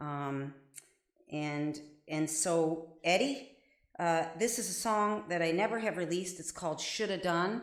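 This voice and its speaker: With audible room echo around her, a woman with a fairly low pitch speaks in a Midwestern accent at a fairly slow pace, her intonation lively. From Ohio, Avon Lake. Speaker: singer-songwriter. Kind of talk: casual live-stream chat. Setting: live stream from home bathroom. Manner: halting, many fillers.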